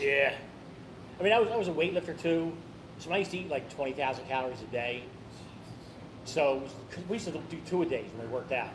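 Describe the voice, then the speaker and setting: A man at a very fast pace with ordinary pitch variation, plus audible room echo and noticeable background noise. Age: 60s. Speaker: eating challenge podcast host. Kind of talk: casual chat.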